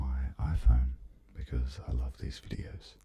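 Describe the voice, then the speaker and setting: A man's soft-spoken, very deep voice, dark and mellow, somewhat breathy, at a very slow pace. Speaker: musician. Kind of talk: ASMR soft-spoken ramble.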